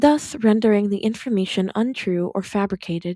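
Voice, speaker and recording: Quiet and calm in tone, a woman with a dark, mellow, medium-pitched voice speaks at a moderate pace with ordinary pitch variation, in a very clean recording with a silent background and a dry, close sound with no echo. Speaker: podfic reader. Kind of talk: fan fiction reading. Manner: quiet, calm.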